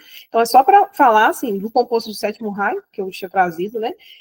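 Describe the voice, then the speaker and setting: There is a dry, close sound with no echo as a woman speaks. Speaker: spiritual teacher. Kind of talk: lecture. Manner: halting.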